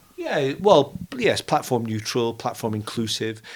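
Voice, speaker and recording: A man talks in a normal speaking voice at a medium pitch. His pace is moderate and his intonation is lively. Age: 60s. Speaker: quantum computing company founder. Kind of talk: interview.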